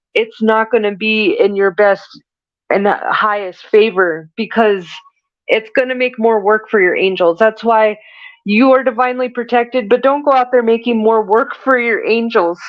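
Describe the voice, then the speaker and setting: A woman speaks at a fairly high pitch with fairly even intonation. Her loudness stays very even throughout. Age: 40s. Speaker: spiritual medium. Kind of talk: channeled spiritual reading. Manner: slow.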